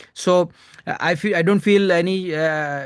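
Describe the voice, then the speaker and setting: Moderately paced speech with an Indian accent. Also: man. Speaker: stand-up comedian. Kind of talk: casual chat. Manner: halting, many fillers.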